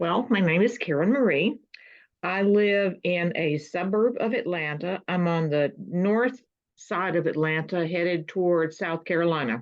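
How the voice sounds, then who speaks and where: A woman with a plain, everyday voice speaks at a fairly slow pace, with a fairly low pitch and ordinary pitch variation. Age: 60s. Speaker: meeting participant, home fermenter. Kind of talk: casual chat.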